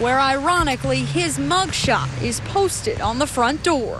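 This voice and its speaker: This woman's delivery has a moderate pace. Behind her, noticeable background noise is audible. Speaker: TV news reporter. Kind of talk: recorded news package voiceover.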